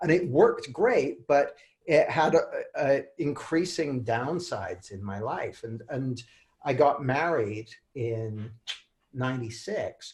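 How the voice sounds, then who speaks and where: A man's fairly high voice in a Canadian accent, very slow, with big swings in loudness. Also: lively intonation. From Canada. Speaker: author and coach. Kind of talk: interview. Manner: halting, many repeated words.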